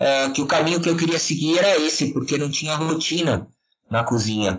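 In a plain, everyday voice, a man talks at a moderate pace. His pitch is fairly high and his intonation lively. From São Paulo state, Serra da Cantareira. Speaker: chef and food researcher. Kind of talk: interview.

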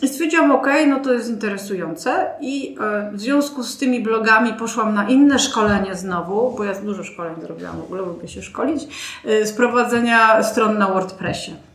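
With lively intonation and big swings in loudness, a woman speaks at a fairly high pitch and moderate pace amid noticeable background noise and audible room echo. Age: 40s. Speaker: lawyer. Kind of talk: interview.

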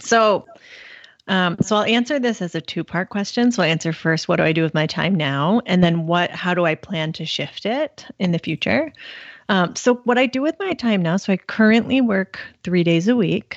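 A woman with an unremarkable speaking voice talks at a moderate pace in a medium pitch, her intonation lively. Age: 30s. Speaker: personal finance blogger. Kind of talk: interview.

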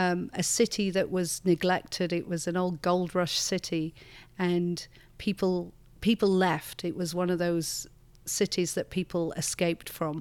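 A woman's fairly low, flat monotone at a fairly slow pace, in a northern English accent, on a very clean recording with a silent background. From northern England. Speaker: church leader. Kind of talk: interview conversation. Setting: studio.

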